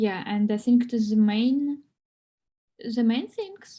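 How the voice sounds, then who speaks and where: A woman with a non-native accent speaks at a very slow pace in a fairly high pitch. Her tone is dark and mellow, and somewhat breathy. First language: not English. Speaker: English learner. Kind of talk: online English class. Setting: video call. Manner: halting.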